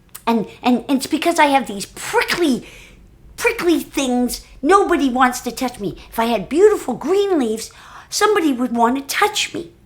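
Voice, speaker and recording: At a moderate pace, a female-sounding voice puts on a character voice pitched high. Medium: read story.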